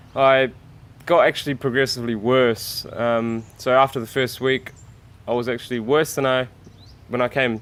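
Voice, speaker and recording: In a New Zealand accent, a man speaks at medium pitch and a moderate pace, flat and monotone, with long, frequent pauses. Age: 20s. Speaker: vegan YouTuber. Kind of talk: interview. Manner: halting.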